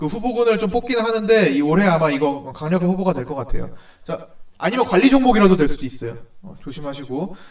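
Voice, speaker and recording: This voice moves at a fairly quick pace, with big swings in loudness and very wide pitch swings. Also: man. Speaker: stock market analyst. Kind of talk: stock consultation video. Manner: fast.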